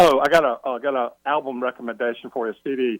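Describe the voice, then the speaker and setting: In a plain, everyday voice, a man talks at medium pitch with fairly even intonation, the sound dry and close with no echo. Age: 60s. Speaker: caller, football fan. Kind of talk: radio call-in question.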